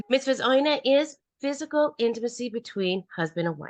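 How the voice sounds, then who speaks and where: Very wide pitch swings in a woman's speech. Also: dry, close sound with no echo. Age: 60s. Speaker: marriage and intimacy coach. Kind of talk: interview.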